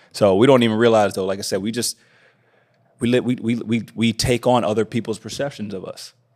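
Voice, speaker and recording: In a very clean recording with a silent background, a man with an American accent talks at a fairly quick pace in a flat, monotone way. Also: medium pitch for a man. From Indianapolis, US Midwest. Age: 30s. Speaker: mindset coach. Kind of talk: casual chat.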